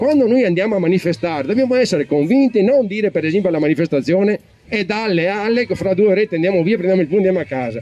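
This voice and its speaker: Racing at a very fast pace, a man talks with a high pitch and lively intonation. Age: 60s. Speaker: audience member. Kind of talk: public comment at political debate. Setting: public event with audience. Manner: emphatic; halting.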